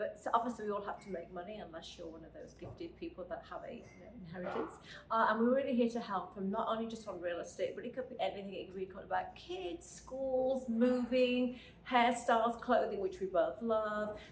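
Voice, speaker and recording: With a British accent, a woman talks fairly quickly at a fairly high pitch, her intonation lively and her loudness swinging widely. Noticeable background noise and audible room echo fill the recording. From Britain. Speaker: podcast co-host, finance lender. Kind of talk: casual chat.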